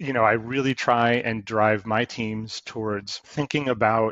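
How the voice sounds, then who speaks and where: A man speaks at a fairly slow pace with fairly even intonation, in a dry recording with no echo and a quiet background. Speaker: guest. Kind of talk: interview answer. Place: home room.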